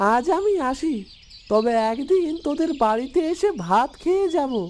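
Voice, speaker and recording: High pitch in a cartoonish character voice. The pace is moderate. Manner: plaintive, familiar, calls others affectionately.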